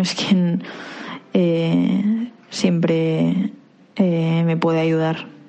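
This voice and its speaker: The voice belongs to a woman. Behind her, background noise is noticeable. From Catalonia, Reus. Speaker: architecture student. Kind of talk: interview. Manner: halting.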